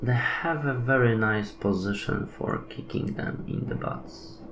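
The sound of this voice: Audible room echo surrounds a man's voice. He speaks at a fairly slow pace with ordinary pitch variation. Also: medium pitch for a man.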